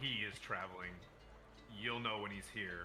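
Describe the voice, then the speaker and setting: A man's put-on character voice over clear background noise. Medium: actual play. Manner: brisk, businesslike.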